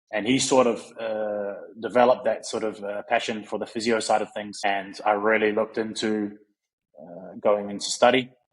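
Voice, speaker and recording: A man speaks at a moderate pace and a fairly low pitch. His delivery is monotone and flat, with big swings in loudness. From New Zealand, South Auckland. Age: 30s. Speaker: physio and strength coach. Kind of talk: interview.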